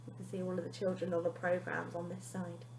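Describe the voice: A woman speaks at a fairly low pitch with a dark, mellow tone.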